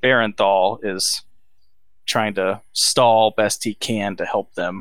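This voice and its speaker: Speaking very slowly with an American accent, a man keeps a fairly low pitch and fairly even intonation. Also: very clean recording, silent background. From Texas. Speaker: podcast co-host. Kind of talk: casual movie-review banter. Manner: relaxed, profane, trailing off into 'um' and 'like'.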